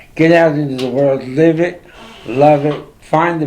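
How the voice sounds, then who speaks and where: A man with a fairly high pitch speaks amid noticeable background noise and audible room echo. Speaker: talk show host. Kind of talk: interview chat. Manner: loud.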